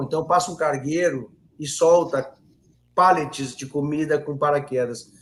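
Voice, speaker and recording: A man talks at a fairly slow pace with ordinary pitch variation. It is a normal speaking voice. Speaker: political commentator. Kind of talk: live stream discussion. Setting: live stream.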